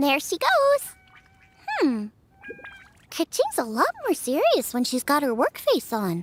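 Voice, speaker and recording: In a high-pitched put-on character voice, the speaker leaves long, frequent pauses. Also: fairly slow pace. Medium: video game. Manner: bright, eager, excitable.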